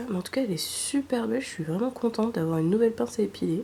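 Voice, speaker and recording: A soft-spoken woman with a medium pitch talks with lively intonation over noticeable background noise. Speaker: ASMR creator. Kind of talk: ASMR unboxing.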